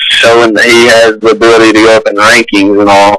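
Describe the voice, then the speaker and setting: Over noticeable background noise, a man with an Alabama accent talks fairly quickly at a medium pitch. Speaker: basketball recruiting analyst. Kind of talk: radio interview.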